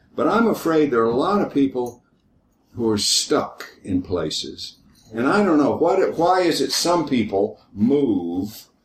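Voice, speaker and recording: A man with vocal fry and a fairly high pitch talks at a fairly slow pace, his pitch swinging very widely while his loudness stays very even. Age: old. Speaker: retired history teacher. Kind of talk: group discussion.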